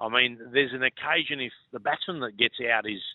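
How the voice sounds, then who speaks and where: A man with an Australian accent speaks at a moderate pace in a medium-pitched voice. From Far North Queensland, Australia. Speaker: former cricketer. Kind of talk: casual chat.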